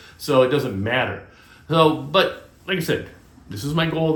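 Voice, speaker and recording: A man's moderate pace of speech is accompanied by audible room echo. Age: 60s. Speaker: DIY and vlog channel host. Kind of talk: casual vlog monologue. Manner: halting, many fillers.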